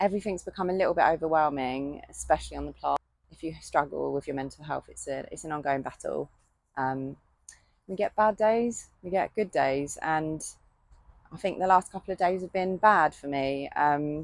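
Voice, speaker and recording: A woman speaks in a British accent at a moderate pace. Her loudness swings widely. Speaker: gardening vlogger and self-employed gardener. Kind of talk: casual vlog monologue. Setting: polytunnel on allotment. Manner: halting.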